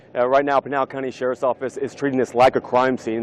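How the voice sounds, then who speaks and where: A man with a medium-pitched voice is heard over noticeable background noise. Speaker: TV news reporter. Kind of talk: TV news reporting.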